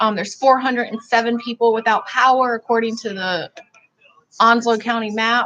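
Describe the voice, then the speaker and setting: A woman talks in a Southern US accent at a fairly high pitch. Her intonation is monotone and flat. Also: moderate pace. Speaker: vlogger. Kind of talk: livestream commentary.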